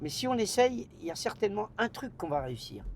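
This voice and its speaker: The voice moves through very wide pitch swings at a fairly slow pace. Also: man. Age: 70s. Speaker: nightclub owner. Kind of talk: interview conversation. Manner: casual, slangy; halting, repetitions.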